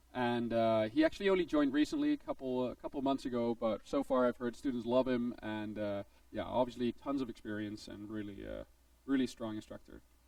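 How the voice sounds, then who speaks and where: A man with a Dutch accent, at a fairly quick pace. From Netherlands. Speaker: game design instructor. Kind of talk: presentation to students. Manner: casual, filler-heavy.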